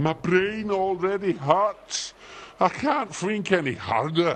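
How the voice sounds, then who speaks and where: Putting on a character voice, a man speaks at a high pitch and a fairly slow pace. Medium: video game. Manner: slow, dim, ungrammatical.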